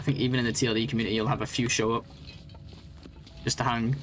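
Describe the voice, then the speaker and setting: In a northern English accent, a man talks at a very fast pace. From northwest England. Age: 30s. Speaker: game streamer. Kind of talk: live gaming stream chat.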